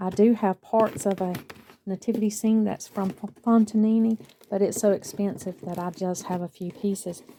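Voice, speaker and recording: A woman speaks with a Southern US accent at a medium pitch. Her intonation is monotone and flat. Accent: southern US, drawn out. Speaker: lifestyle vlogger. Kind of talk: casual vlog chat.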